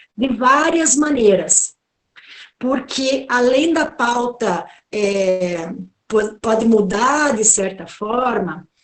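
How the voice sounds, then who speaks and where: In a room with audible echo, a woman speaks very slowly, her fairly high voice carrying lively intonation. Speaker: professor of political communication. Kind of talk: online lecture talk.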